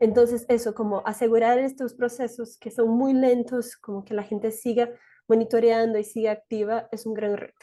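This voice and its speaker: Her tone is dark and mellow. The woman keeps her intonation fairly even. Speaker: human rights advocate. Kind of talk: panel discussion. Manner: fast.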